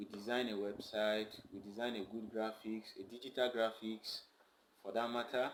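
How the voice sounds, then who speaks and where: A man's medium-pitched voice carries a monotone, flat intonation. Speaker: marketing and IT services presenter. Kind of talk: tutorial. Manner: slow.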